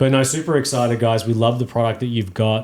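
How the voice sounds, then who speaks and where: Delivered very fast in a flat monotone, the speech comes with an Australian accent. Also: man. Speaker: golf gear podcast co-host. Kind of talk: casual chat. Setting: studio.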